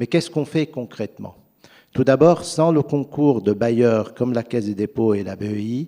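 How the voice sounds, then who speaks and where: A man with a non-native accent speaks at a moderate pace in a dark, mellow tone, his medium pitch moving with ordinary variation while his loudness swings widely. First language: not French (speaking French). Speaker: private equity investor. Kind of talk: panel discussion.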